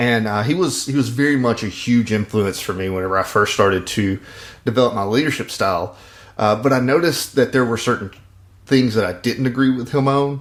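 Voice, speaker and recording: With a Mississippi accent, a man talks at a fairly quick pace and medium pitch, his pitch varying in an ordinary way. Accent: Southern (Mississippi). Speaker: podcast host, leadership coach. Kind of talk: casual podcast chat. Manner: hesitant, many fillers.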